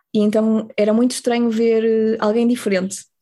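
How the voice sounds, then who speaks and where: A woman's fairly high voice with a dark, mellow tone, at a moderate pace. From northern Portugal, Ponte de Lima. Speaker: marine biology graduate, former working-holiday traveller. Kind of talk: casual interview.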